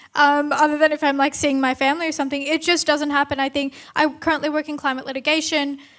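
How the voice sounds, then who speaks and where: In an Australian accent, a woman speaks at a fairly quick pace in a high pitch with monotone, flat intonation. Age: young. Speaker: climate lawyer and activist. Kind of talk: panel discussion.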